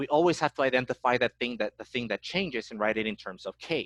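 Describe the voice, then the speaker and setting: A man at medium pitch speaks with vocal fry in a dry, close sound with no echo. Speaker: math teacher. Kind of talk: lecture. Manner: fast.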